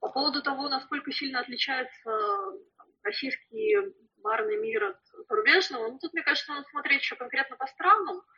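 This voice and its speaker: A high-pitched woman at a fairly quick pace, her pitch swinging very widely, with long, frequent pauses. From Russia. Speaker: flair bartender. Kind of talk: interview. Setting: remote call.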